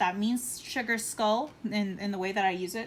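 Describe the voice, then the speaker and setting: A woman talks at a fairly slow pace. Her voice sits at a medium pitch. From Texas, US South. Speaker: artist streamer. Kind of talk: casual chat. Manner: animated.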